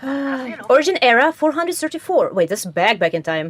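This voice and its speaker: Over noticeable background noise, a woman speaks at a high pitch in a dry, close sound with no echo. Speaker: vtuber game streamer. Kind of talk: let's play commentary with read-aloud game dialogue. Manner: soft-spoken.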